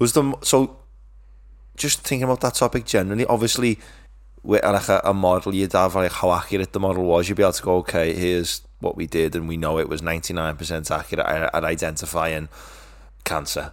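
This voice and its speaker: On a very clean recording with a silent background, a man with a very deep, low pitch speaks at a very fast pace with lively intonation. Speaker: podcast co-host. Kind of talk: casual chat.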